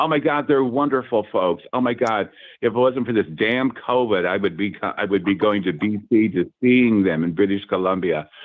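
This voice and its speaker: Using a normal speaking voice, a man with a fairly low pitch and ordinary pitch variation talks at a moderate pace with hardly any pauses. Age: 60s. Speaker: psychic medium. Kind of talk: interview. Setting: radio show.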